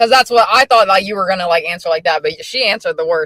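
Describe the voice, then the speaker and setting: Recorded with a dry, close sound and no echo, a woman with an unremarkable speaking voice talks at a fairly quick pace with ordinary pitch variation. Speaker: interviewer, streamer. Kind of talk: casual interview questions on livestream.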